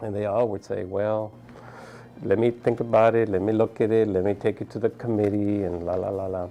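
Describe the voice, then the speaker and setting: A man with an American accent speaks at a fairly quick pace in a fairly low pitch. His tone is dark and mellow, and his intonation is monotone and flat. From South Texas, Brownsville. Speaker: physician. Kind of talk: interview testimony.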